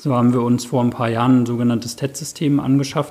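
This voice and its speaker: Here is a man with a plain, everyday voice at medium pitch. He talks at a fairly quick pace. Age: 30s. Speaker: occupational safety specialist. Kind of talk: interview. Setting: in person at workplace office.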